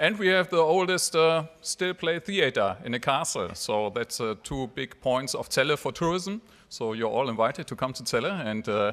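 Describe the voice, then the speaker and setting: On a very clean recording with a silent background, a man speaks in a German accent at a moderate pace. His high pitch swings very widely. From Germany. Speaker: mayor. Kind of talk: speech. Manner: halting.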